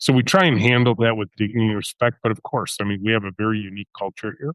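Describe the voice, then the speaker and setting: A man's plain, everyday voice, fairly low in pitch, at a fairly quick pace, with a dry, close sound, no echo and a quiet background. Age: 60s. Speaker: company CEO and author. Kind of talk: interview.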